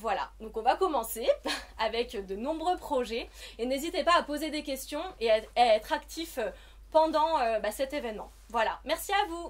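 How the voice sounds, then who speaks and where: With a high voice and lively intonation, a woman is speaking. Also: moderate pace. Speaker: association representative. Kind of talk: welcome speech at networking event. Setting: shop event with live audience. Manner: many hesitations.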